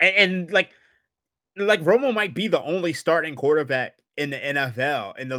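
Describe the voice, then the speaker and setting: An ordinary speaking voice from a man, fairly high in pitch, at a moderate pace with lively intonation, on a very clean recording with a silent background. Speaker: sports betting analyst. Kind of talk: casual chat.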